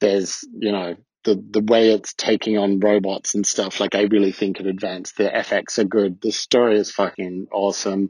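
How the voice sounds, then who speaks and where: Spoken at a moderate pace with an Australian accent, the voice stays monotone and flat, runs with hardly any pauses, and sounds dry and close with no echo. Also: man, fairly low pitch for a man. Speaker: listener. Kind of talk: recorded voice message. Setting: listener audio clip.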